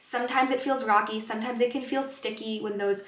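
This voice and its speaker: In a room with audible echo, a woman with a fairly high voice speaks at a fairly quick pace and with fairly even intonation. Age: 20s. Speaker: wellness counselor. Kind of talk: self-help vlog talk to camera. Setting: in front of a camera. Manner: casual conversational.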